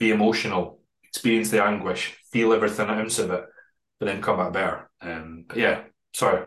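A man with a fairly low pitch and an unremarkable speaking voice talks at a fairly quick pace with fairly even intonation. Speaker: bodybuilding prep coach. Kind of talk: casual interview chat.

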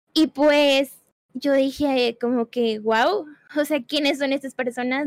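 Her voice sits at a high pitch, and this woman keeps her intonation fairly even. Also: dry, close sound with no echo. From Puebla, Mexico. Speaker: streamer. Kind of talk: casual interview chat. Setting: video call.

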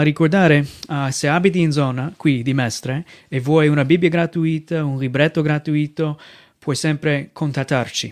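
Recorded very cleanly against a silent background with a dry, close sound and no echo, a man with an American accent talks at a moderate pace in a fairly high pitch with fairly even intonation. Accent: American accent in Italian. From United States. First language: English (speaking Italian). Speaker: missionary pastor. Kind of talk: sermon. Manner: halting.

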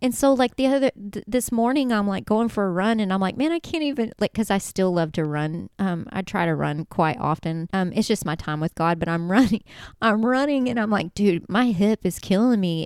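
A woman with an unremarkable speaking voice talks at a fairly quick pace and medium pitch, with lively intonation and hardly any pauses. The recording is very clean with a silent background and a dry, close sound with no echo. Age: 40s. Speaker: faith podcast host. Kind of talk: casual faith talk. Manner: casual, filler-heavy.

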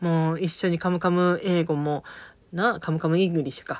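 In a strong Okayama accent, a woman with a fairly low pitch talks at a fairly quick pace on a very clean recording with a silent background. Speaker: podcaster reviewing TV drama. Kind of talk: casual monologue. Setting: recording at home. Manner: halting.

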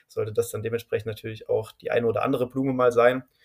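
A man's medium-pitched voice, monotone and flat, at a very fast pace. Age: 20s. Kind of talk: podcast interview.

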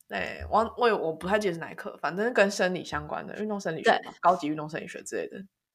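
A woman speaks at a very fast pace. Her loudness swings widely. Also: hardly any pauses. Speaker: podcast co-host, PhD student. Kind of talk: casual chat.

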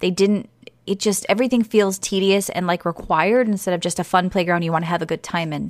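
A woman talks very fast at a medium pitch in an American accent, her intonation fairly even. The recording is very clean, with a silent background. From US East Coast. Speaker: podcast host. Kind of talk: casual chat. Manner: halting.

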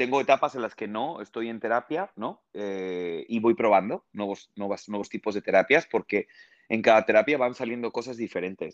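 A man with a plain, everyday voice, medium pitch, ordinary pitch variation and a moderate pace, in a dry, close sound with no echo and a quiet background. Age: 30s. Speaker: TV presenter and actor. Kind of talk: casual interview.

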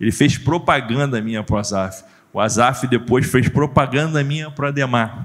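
Moderate tempo, ordinary pitch variation, a man's voice. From Brazil, Rio de Janeiro state (Nova Iguaçu). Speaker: pastor and motivational speaker. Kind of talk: testimony. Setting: church stage with audience. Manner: animated.

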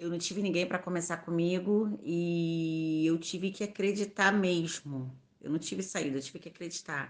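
Against a quiet background, a woman with an unremarkable speaking voice talks at a moderate pace with hardly any pauses and ordinary pitch variation. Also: fairly low pitch for a woman. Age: 30s. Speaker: beauty salon owner and microentrepreneur. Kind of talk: podcast interview.

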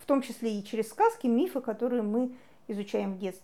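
Speaking at a moderate pace, a woman has a high pitch and a dark, mellow tone. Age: 40s. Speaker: psychologist. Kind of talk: lecture.

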